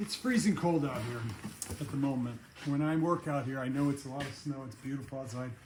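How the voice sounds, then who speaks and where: Over noticeable background noise, a man speaks at a fairly quick pace with a fairly high pitch. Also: ordinary pitch variation. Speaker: car restoration hobbyist. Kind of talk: casual chat. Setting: workshop. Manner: soft-spoken; halting.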